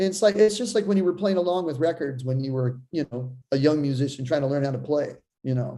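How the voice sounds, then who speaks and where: With a slight Boston accent, a man speaks in a dark, mellow tone with ordinary pitch variation. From Seattle, US. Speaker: drummer. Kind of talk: casual chat.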